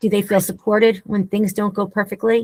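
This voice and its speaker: In a dry, close recording with no echo, a woman talks at a fairly high pitch, somewhat breathy, with monotone, flat intonation. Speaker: leadership consultant and speaker. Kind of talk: webinar discussion.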